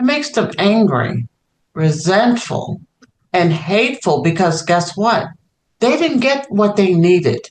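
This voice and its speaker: A woman's voice with very wide pitch swings, at a fairly slow pace. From New York, South Bronx. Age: 60s. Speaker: children's author. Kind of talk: interview.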